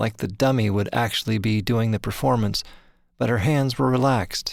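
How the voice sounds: A natural reading voice carries the recording. It stays that way from start to finish.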